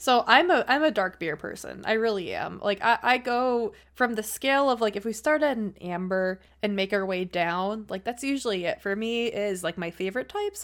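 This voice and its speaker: In a very clean recording with a silent background, a woman talks at a moderate pace with medium pitch and lively intonation, in an ordinary speaking voice. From Buffalo, New York. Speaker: beer sales rep and streamer. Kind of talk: casual chat.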